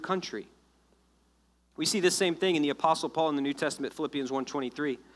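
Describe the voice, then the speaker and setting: Someone with an American accent speaks at a very fast pace with fairly even intonation on a very clean recording with a silent background. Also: man. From US South (South Florida). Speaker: pastor. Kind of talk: sermon. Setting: church.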